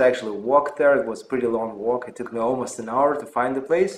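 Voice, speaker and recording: The speaker talks at a very fast pace in a Russian accent. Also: man. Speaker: physician and health channel host. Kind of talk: personal story vlog. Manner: hesitant with fillers.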